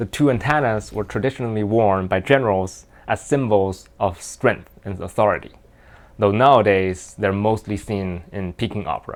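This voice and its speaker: With a Mandarin accent, a man speaks at a fairly low pitch. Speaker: gaming YouTuber. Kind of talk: video commentary narration. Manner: hesitant with fillers.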